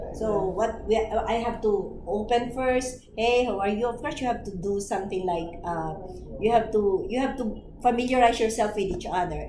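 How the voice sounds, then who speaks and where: Moderate pace and ordinary pitch variation, with audible room echo and noticeable background noise. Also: woman, fairly high pitch for a woman. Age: 60s. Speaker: network marketing mentor. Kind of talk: training presentation.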